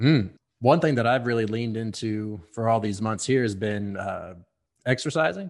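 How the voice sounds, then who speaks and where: Here a man talks at a moderate pace with an American accent. His pitch is medium, with ordinary variation. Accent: Texan, varies in strength. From Texas, Houston. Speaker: whiskey brand ambassador. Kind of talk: casual interview chat.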